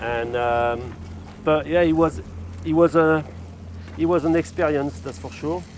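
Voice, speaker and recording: With a strong Cornish accent, a man speaks fairly slowly at a fairly high pitch, with lively intonation and long, frequent pauses. Noticeable background noise sits behind him. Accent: strong accent, self-described as Cornish. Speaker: chef. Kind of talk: cooking demonstration. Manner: halting, many repetitions.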